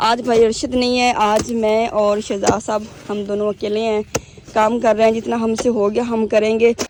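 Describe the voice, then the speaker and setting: Over noticeable background noise, a woman with a fairly high pitch talks at a fairly slow pace in a monotone, flat intonation. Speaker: village vlogger. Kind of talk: casual vlog narration.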